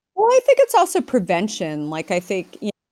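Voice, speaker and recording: An American accent marks this voice. It belongs to a woman. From Arizona, US. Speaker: company founder and CEO. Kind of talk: casual interview. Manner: halting, many fillers.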